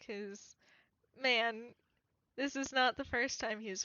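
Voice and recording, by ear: Against a quiet background, the pitch varies in an ordinary way as someone reads aloud in a natural voice.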